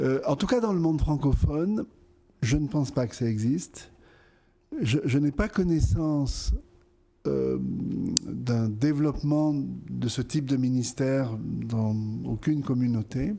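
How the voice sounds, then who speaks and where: A man speaks at a very slow pace with long, frequent pauses. His tone is dark and mellow. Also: medium pitch for a man, lively intonation. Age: 60s. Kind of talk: interview. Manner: hesitant, many fillers.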